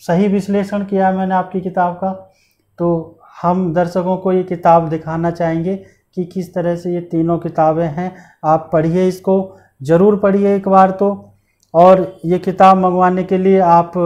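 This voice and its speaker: Slow-ish and monotone, a man talks at a high pitch with a flat intonation, leaving long, frequent pauses at a fairly slow pace. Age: young. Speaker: interview show host. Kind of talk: interview. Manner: formal. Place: studio. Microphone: lapel.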